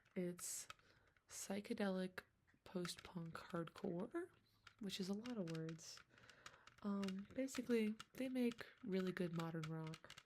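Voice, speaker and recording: A soft-spoken woman talks at a fairly slow pace in a somewhat breathy, medium-pitched voice with ordinary pitch variation. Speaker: ASMR creator. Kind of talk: ASMR talk to camera.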